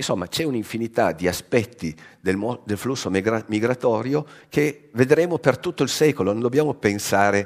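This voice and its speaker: A man at a moderate pace with very wide pitch swings, set against a quiet background. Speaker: science journalist. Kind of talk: lecture. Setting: stage with audience. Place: hall.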